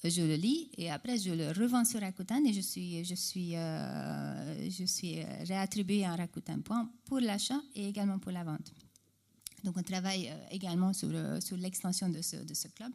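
In a Hungarian accent, a woman with a medium pitch and a dark, mellow tone talks at a very slow pace with ordinary pitch variation. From Hungary. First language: Hungarian (speaking French). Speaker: e-commerce customer service executive. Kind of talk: panel discussion. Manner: halting, many repetitions.

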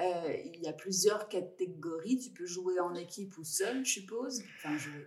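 Her voice is somewhat breathy and medium in pitch as this woman speaks at a fairly slow pace. Her loudness swings widely, and room echo is audible. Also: ordinary pitch variation. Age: 40s. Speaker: podcast host. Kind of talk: interview. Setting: office.

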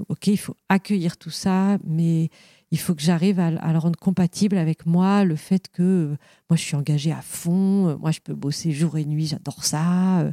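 A woman's dark, mellow voice, fairly low in pitch, with fairly even intonation at a fairly slow pace, in a very clean recording with a silent background and a dry, close sound with no echo. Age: 40s. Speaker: company co-founder. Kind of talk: interview conversation. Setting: company offices. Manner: halting, many fillers.

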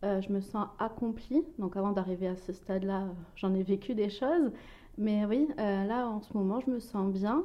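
A woman has a normal speaking voice at a medium pitch. She talks at a fairly slow pace with ordinary pitch variation. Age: 30s. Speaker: mother and Instagram blogger. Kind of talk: personal testimony interview.

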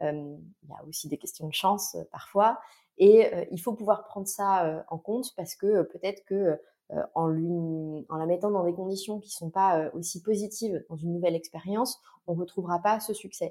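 Loudness swings widely in this dark, mellow voice, which moves at a moderate pace with ordinary pitch variation. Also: woman, medium pitch for a woman. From western France, Nantes. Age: 30s. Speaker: HR consultant. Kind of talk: casual interview chat. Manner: hesitant, many fillers.

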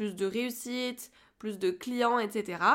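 Ordinary pitch variation marks this woman's speech. Her pace is very slow. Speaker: podcast host, communication coach for entrepreneurs. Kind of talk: solo podcast monologue. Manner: hesitant, many filler words.

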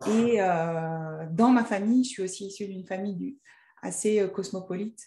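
This woman has a dark, mellow tone at a medium pitch, with ordinary pitch variation and a somewhat breathy quality. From Annecy, French Alps. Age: 40s. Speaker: entrepreneur and coach. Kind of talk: interview. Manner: hesitant, many fillers.

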